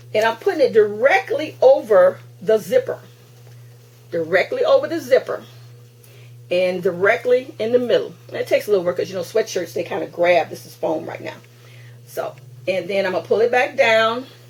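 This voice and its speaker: Over noticeable background noise, a woman talks at a fairly quick pace, her loudness swinging widely and her speech broken by long, frequent pauses. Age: 60s. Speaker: crafting video host. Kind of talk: tutorial. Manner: halting; casual.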